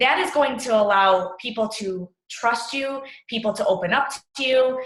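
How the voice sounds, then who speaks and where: Pitched fairly high, a woman with a plain, everyday voice talks with ordinary pitch variation. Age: 20s. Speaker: fitness coach. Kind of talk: team training talk.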